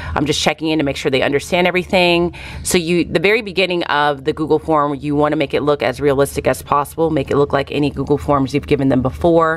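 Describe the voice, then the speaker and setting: With an American accent, a woman speaks at a fairly quick pace in a very deep, low pitch and fairly even intonation, with noticeable background noise around her. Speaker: teacher and vlogger. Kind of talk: casual vlog talk to camera. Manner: fast.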